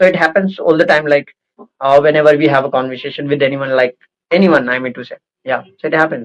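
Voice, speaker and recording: A man speaks at a very fast pace with an Indian accent and a fairly high pitch. His intonation is fairly even, but his loudness swings widely. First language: Hindi. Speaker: interviewer, English-speaking channel host. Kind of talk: casual interview conversation. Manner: halting, many fillers.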